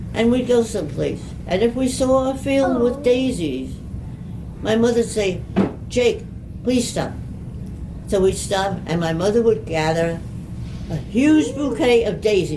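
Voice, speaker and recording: Lively intonation comes at a fairly slow pace with long, frequent pauses. There is audible room echo and noticeable background noise. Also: woman, fairly high pitch for a woman. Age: 80s+. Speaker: centenarian interviewee. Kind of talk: casual interview. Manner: halting.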